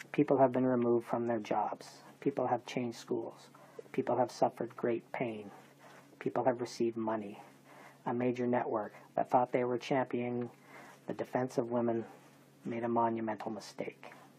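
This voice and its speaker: A moderate pace marked by long, frequent pauses. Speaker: video essay narrator advocating for a convicted man. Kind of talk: scripted narration. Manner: measured, well-spoken.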